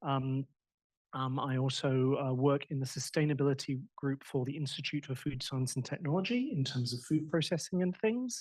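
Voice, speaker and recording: A man's somewhat breathy, fairly high voice with ordinary pitch variation. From Australia. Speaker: academic examiner. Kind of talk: doctoral defense examination. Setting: audience in room. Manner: fast; animated.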